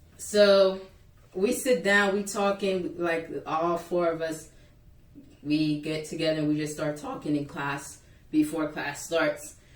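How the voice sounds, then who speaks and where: In a room with audible echo and noticeable background noise, a woman speaks at a fairly slow pace with an animated tone, a fairly low pitch, and ordinary pitch variation. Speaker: YouTuber. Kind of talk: storytime vlog. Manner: loud.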